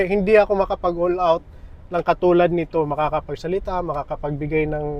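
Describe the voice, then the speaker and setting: The speaker is male. His intonation stays monotone and flat. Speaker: vlogger. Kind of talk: casual vlog talk. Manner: halting. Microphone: small clip-on mic, camera far away.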